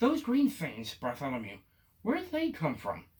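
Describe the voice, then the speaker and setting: The voice is a put-on character, pitched fairly high. Its delivery runs at a moderate pace. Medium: read story. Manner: excitable.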